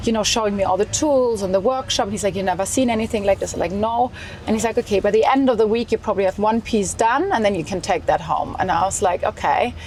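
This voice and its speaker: Over noticeable background noise, a woman talks very fast with hardly any pauses. Her pitch is fairly high, with ordinary variation. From Germany, small town. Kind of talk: interview.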